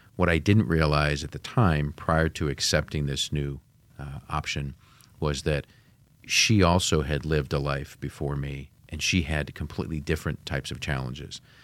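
A man with a very deep, low voice and vocal fry talks at a moderate pace with fairly even intonation on a very clean recording with a silent background. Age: 50s. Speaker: Marine Corps reserve officer and financial class coordinator. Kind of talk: casual chat.

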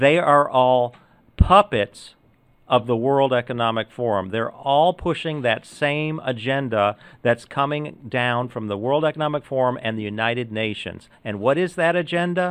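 At a moderate pace, a man with medium pitch and ordinary pitch variation talks in an unremarkable speaking voice. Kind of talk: casual interview chat.

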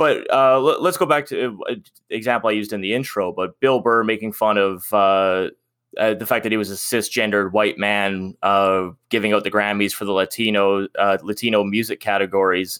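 A man speaks in a plain, everyday voice with a Canadian accent and a fairly low pitch. His moderate pace and fairly even intonation come through in a very clean recording with a silent background. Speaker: podcast host. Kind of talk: casual chat.

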